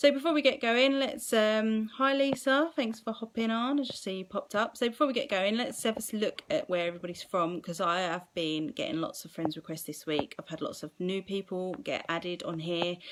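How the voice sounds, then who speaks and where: Pitched fairly high, a woman with a strong Essex accent talks at a fairly quick pace with hardly any pauses and very wide pitch swings. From England, Essex. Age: 30s. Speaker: mindset coach. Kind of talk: live stream talk to viewers. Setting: live video stream. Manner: casual, chatty.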